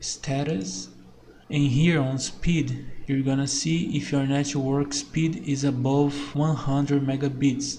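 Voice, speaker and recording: In a non-native accent, a man speaks at a fairly high pitch and a very slow pace, with very even loudness. His intonation is fairly even, and there is audible room echo. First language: not English. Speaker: tech tutorial creator. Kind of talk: tutorial.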